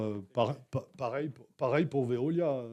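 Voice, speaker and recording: A man speaks in a dark, mellow tone at a medium pitch. He goes at a fairly slow pace with ordinary pitch variation. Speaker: municipal councillor. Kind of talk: council meeting debate. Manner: halting, many repetitions.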